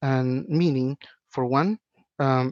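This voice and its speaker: A man with a Spanish accent at a medium pitch, in a dry, close sound with no echo. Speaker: web developer and online instructor. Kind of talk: podcast interview.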